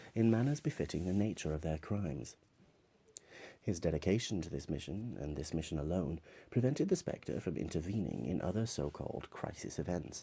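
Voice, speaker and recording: A man's very deep, low voice with vocal fry, a dark, mellow tone, very wide pitch swings and a fairly quick pace. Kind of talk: ASMR comic synopsis narration.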